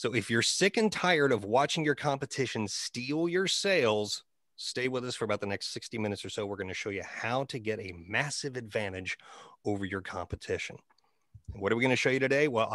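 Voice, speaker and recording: The speaker has a normal speaking voice and lively intonation at a fairly quick pace. The background is quiet. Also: man, medium pitch for a man. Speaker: marketing presenter, media guy. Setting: online class presentation. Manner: polished sales pitch delivery.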